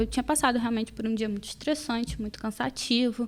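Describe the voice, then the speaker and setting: This woman speaks at a high pitch. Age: 20s. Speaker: law student and patient guest. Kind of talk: podcast interview.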